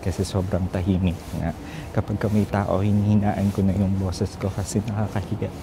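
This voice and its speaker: A man speaks at a fairly quick pace in a fairly low pitch, with monotone, flat intonation and very even loudness. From Philippines. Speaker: travel vlogger. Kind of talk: travel vlog. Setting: outdoors, airport. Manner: lowered voice.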